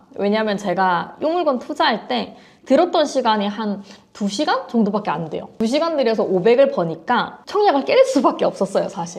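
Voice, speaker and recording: At a moderate pace, a woman with a fairly high pitch and a slight Busan accent makes very wide pitch swings. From South Korea, Busan. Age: 20s. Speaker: real estate auction investor. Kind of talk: interview. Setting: filmed on location.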